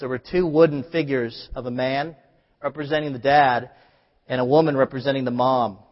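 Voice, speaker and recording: The speaker is a man with a plain, everyday voice and a fairly high pitch. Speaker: preacher. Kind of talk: sermon. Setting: church.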